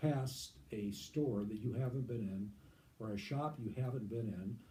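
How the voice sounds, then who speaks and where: Man's somewhat breathy, dark, mellow voice, fairly slow and lively in intonation, with audible room echo. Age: 70s. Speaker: veteran lighting salesman. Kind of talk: interview. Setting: video interview under lights.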